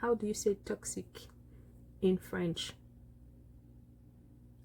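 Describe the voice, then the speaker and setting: Dark, mellow tone with vocal fry and ordinary pitch variation. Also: woman. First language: Lingala (speaking French). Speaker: vlogger. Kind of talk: personal vlog monologue. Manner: halting, many hesitations.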